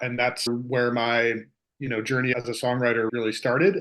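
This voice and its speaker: A man with an American accent in a normal speaking voice, medium in pitch, at a fairly quick pace against a quiet background. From Freehold, New Jersey. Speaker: singer-songwriter. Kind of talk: casual chat.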